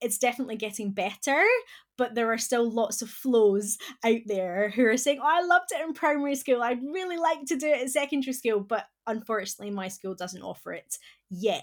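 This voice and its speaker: In a Scottish accent, a woman speaks at a fairly quick pace with lively intonation on a very clean recording with a silent background. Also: fairly high pitch for a woman. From Scotland. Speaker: classics professor and education advocate. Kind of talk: interview discussion.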